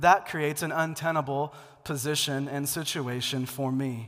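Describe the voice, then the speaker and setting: Using an unremarkable speaking voice, a man with an American accent talks at a fairly high pitch with ordinary pitch variation. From Seattle, US Pacific Northwest. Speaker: pastor. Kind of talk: sermon.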